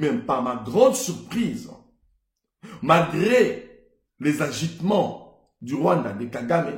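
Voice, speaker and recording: A man with a Congolese accent speaks at a very slow pace, leaving long, frequent pauses. His high pitch moves in very wide swings, and audible room echo surrounds the voice. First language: Lingala (speaking French). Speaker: entrepreneur and motivational speaker. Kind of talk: motivational monologue.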